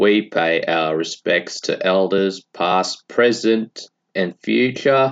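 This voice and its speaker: A man's very deep, low voice in an Australian accent, at a very slow pace, with ordinary pitch variation and a dry, close sound with no echo. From Western Australia, north of Broome. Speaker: podcast workshop participant. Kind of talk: acknowledgement of country.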